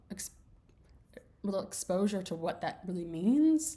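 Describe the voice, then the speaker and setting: In a Southern US accent, a woman speaks with a dark, mellow tone and vocal fry. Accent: Southern US, slips out at times. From US South, small rural town. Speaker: course instructor. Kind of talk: casual video message to students. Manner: expressive; halting, many restarts and fillers.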